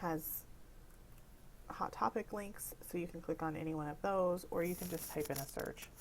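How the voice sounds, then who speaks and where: This woman has an ordinary speaking voice with an American accent and a fairly low pitch. She talks at a moderate pace with fairly even intonation. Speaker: library technician. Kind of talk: tutorial.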